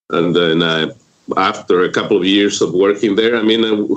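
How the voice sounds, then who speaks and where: Speaking with a Spanish accent, a man talks at a moderate pace in a fairly low pitch with fairly even intonation. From Mexico, Michoacán. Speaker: group home owner and real estate investor. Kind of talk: interview.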